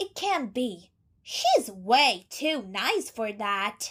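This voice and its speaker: A put-on character voice at a very slow pace. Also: female-sounding voice, fairly high pitch for a woman. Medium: fan dub. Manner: cheerful, casual.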